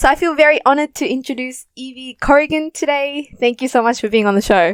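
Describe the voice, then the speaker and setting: This very fast speaker with an Australian accent uses ordinary pitch variation, captured in a dry, close sound with no echo. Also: woman, high pitch for a woman. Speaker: podcast host. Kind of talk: interview podcast. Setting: Zoom call.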